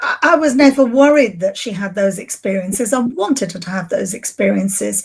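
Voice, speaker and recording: Here a woman's voice sounds somewhat breathy. Her pitch moves with ordinary variation. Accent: English. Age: 60s. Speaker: grief recovery specialist. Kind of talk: podcast interview.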